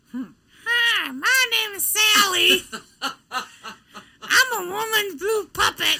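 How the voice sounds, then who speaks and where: The speaker uses a put-on character voice at an extremely high pitch. The pace is very slow. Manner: puppet-like voicing.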